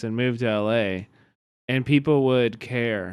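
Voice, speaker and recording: Speaking at a very slow pace, a man with a Kansas City accent keeps his intonation fairly even. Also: very clean recording, silent background. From Kansas City, US Midwest. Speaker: streamer. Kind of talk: casual chat. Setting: live stream.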